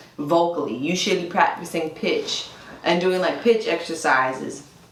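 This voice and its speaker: Over noticeable background noise and audible room echo, the voice moves at a moderate pace with ordinary pitch variation. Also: woman. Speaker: worship leader. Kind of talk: casual chat. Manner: casual, filler-heavy.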